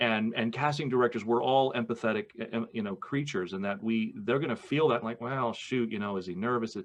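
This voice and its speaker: A man with a normal speaking voice, a medium pitch, ordinary pitch variation, and a fairly quick pace. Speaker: voice actor. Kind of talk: podcast interview conversation.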